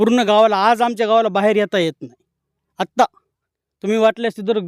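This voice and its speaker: The recording is very clean, dry and close, with a silent background and no echo. A man speaks at a high pitch with ordinary pitch variation. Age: 40s. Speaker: farmer. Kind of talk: field interview. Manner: animated.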